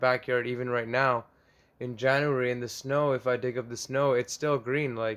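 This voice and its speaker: This voice moves fairly quickly. Its delivery is flat and monotone. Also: man. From Sri Lanka. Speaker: plant vlogger. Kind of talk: casual vlog. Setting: home basement. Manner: loud; casual, filler-heavy.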